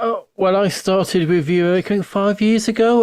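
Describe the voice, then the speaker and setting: The sound is dry and close, with no echo and a quiet background. A man talks at a moderate pace. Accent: southern English. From Ramsgate, Kent, England. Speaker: radio host. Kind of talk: casual chat. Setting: video call.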